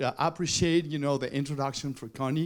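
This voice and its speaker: A man's fairly high voice with a Spanish accent and fairly even intonation, on a very clean recording with a silent background. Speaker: TV journalist and presenter. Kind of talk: award acceptance speech. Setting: stage at awards luncheon. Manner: halting.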